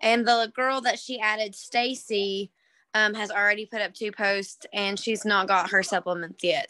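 A woman talks at a moderate pace. Her tone is bright and sharp, with ordinary pitch variation. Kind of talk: casual team call update. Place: home room. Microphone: video call.

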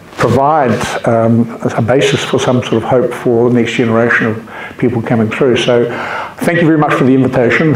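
Over light background noise and audible room echo, a man with a New Zealand accent talks at a fairly quick pace with fairly even intonation. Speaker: invited lecturer, academic. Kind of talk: formal academic talk. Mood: warm, grateful. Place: meeting room. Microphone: camera far.

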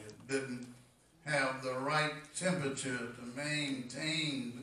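Audible room echo surrounds a man as he talks. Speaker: preacher. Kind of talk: sermon. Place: church.

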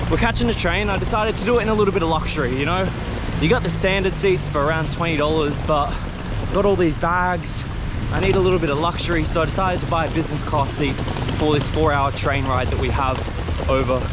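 A man talking at a very fast pace, dry sound with no echo, loud background noise behind him. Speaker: travel vlogger. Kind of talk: casual vlog chat. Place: street. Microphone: phone near.

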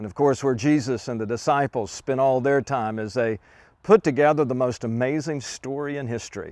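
Against a quiet background, a man talks at a moderate pace with big swings in loudness, the sound dry with no echo. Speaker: tour leader pastor. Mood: warm, enthusiastic. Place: forest. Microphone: lapel.

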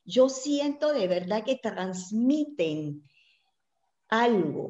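Set in a quiet background with audible room echo, a woman's dark, mellow voice sits fairly high in pitch, swinging very widely at a very slow pace. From Mexico (born in Puebla); Mexico. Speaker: presenter. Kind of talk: interview. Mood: warm, animated. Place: home room. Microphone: video call.

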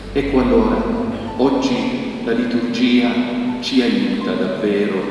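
Over faint background music and strong room echo, a man speaks at a very slow pace. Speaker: bishop celebrating mass. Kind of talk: sermon. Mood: solemn, consoling. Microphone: podium.

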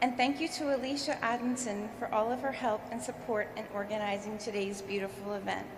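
Over noticeable background noise, a woman with an American accent talks at a fairly high pitch and a fairly quick pace with hardly any pauses. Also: ordinary pitch variation. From US, southern New Jersey. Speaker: ship sponsor; speaker. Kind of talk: ceremonial speech. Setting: stage with audience. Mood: warm, smiling. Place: hall. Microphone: podium.

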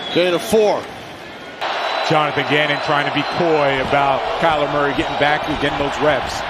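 Through loud background noise, a man talks with long, frequent pauses. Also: moderate pace, dry sound with no echo. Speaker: radio play-by-play announcer. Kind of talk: live football commentary. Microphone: headset.

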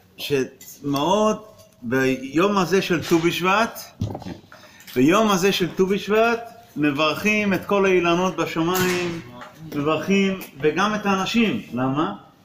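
A man's high-pitched voice with ordinary pitch variation, very slow delivery, long and frequent pauses, and light background noise. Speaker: rabbi. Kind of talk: religious talk with a blessing and teaching. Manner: pauses for translation. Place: classroom. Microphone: phone near.

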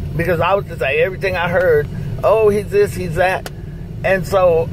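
Noticeable background noise under a female voice, the sound dry with no echo. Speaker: mother-in-law sharing a personal story. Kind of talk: interview answer. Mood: earnest, persuasive. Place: car. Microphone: phone near.

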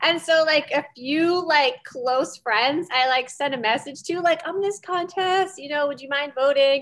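A woman's high-pitched voice at a fairly slow pace, with ordinary pitch variation and hardly any pauses. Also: big swings in loudness. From Pennsylvania, Reading area; Pennsylvania. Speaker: Brazilian jiu-jitsu competitor; interview guest. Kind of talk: interview. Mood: relaxed, friendly. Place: home room. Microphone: video call.

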